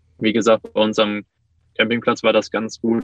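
The man's voice is fairly low in pitch, with monotone, flat intonation. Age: 20s. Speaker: interview guest sharing personal experience. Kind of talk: casual interview.

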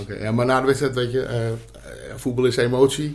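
A somewhat breathy male voice of medium pitch, fairly quick in pace, with fairly even intonation. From Amsterdam. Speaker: podcast co-host, former amateur footballer. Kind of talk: casual chat. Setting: studio.

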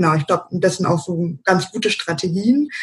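A woman talks at a fairly quick pace. Her voice is somewhat breathy and fairly low in pitch. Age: 30s. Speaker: self-employed virtual assistant. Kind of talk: interview. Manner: hesitant, many filler sounds.

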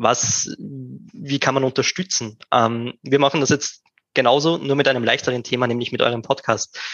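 A plain, everyday voice, a man's, medium in pitch, with ordinary pitch variation at a moderate pace. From Upper Austria. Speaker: podcast host. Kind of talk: interview. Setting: live video stream.

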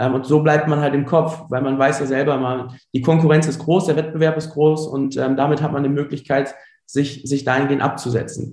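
A man speaks at a fairly quick pace with a fairly high pitch and somewhat breathy delivery. His intonation stays fairly even, and some room echo can be heard. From Germany, Ruhr area (Dorsten). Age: 30s. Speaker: entrepreneur, former primary school teacher. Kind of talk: interview. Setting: remote call.

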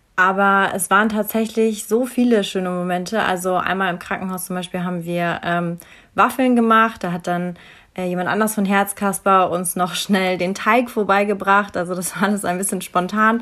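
The tone is bright and sharp. A woman of medium pitch speaks at a moderate pace with fairly even intonation. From Bavaria, Munich. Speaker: psychology graduate, volunteer. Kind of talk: casual interview.

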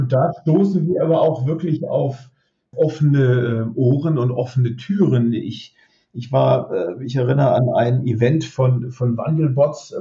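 A man's somewhat breathy, medium-pitched voice at a fairly slow pace. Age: 50s. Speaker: robotics startup founder. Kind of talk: interview. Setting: remote connection.

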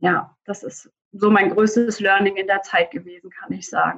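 Bright and sharp in tone, a woman speaks at a fairly slow pace in a fairly high pitch. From Germany, near Frankfurt am Main. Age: 20s. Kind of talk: interview answers.

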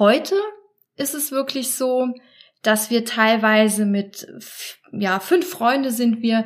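At a very slow pace, a woman with a fairly high pitch speaks with ordinary pitch variation and long, frequent pauses. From Germany, Trier. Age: 30s. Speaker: support group leader. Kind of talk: interview.

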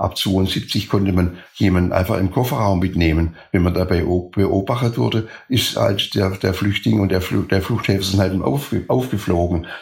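A man's very deep, low voice, somewhat breathy, at very even loudness. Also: ordinary pitch variation, moderate pace, hardly any pauses. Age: 80s+. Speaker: former escape helper. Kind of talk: interview.

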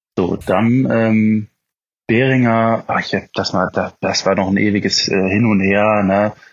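A plain, everyday voice, its intonation fairly even. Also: man. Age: 20s. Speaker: motorcycle hobbyist. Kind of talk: casual chat.

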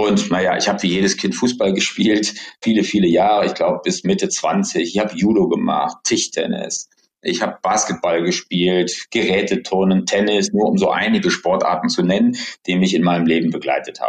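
The man's volume hardly changes at all. He keeps to a moderate speed. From Rhineland, Germany (Bonn). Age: 50s. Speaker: trade fair company director. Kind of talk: interview.

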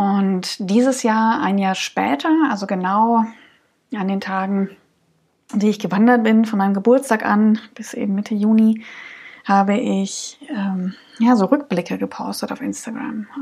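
A somewhat breathy voice at a fairly slow pace, with long, frequent pauses and ordinary pitch variation. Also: woman, medium pitch for a woman. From Saxony, Dresden region. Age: 30s. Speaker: podcast host, hiker. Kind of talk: solo podcast monologue. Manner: many filler sounds.

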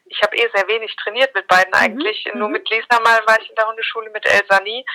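A woman with a fairly high pitch talks at a very fast pace with ordinary pitch variation, in a dry, close sound with no echo. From Mainz, Germany. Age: 30s. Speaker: journalist and dog owner. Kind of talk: podcast interview.

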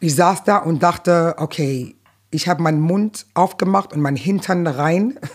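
Fairly low-pitched, a woman talks at a fairly slow pace with ordinary pitch variation. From New York, Brooklyn. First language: English (speaking German). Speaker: stand-up comedian. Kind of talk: casual interview.

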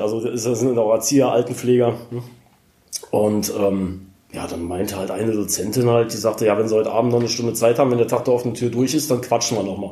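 Against noticeable background noise, a man talks at a very fast pace in a medium pitch. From Rhineland, near Cologne. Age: 40s. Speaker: special-needs care worker in training. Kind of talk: interview.

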